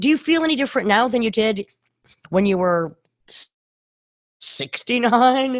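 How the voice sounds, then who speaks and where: Using lively intonation, a woman speaks at a fairly high pitch and a moderate pace, with long, frequent pauses. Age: 60s. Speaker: podcast host. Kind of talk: interview.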